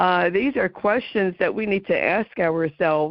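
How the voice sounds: A woman with a New Jersey accent at a fairly slow pace and fairly low pitch, in dry, close sound with no echo. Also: ordinary pitch variation.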